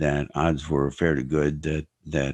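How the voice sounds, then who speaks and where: A very deep, low male voice with vocal fry, moderate pace, dry, close sound with no echo, and a quiet background. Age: 70s. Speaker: blind chess champion. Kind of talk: interview conversation. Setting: podcast. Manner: talkative.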